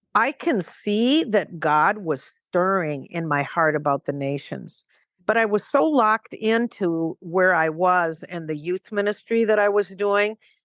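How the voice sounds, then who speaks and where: Using a plain, everyday voice, a woman speaks at a fairly slow pace and medium pitch with lively intonation. The sound is dry and close with no echo, over a quiet background. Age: 60s. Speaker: missionary. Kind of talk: interview conversation.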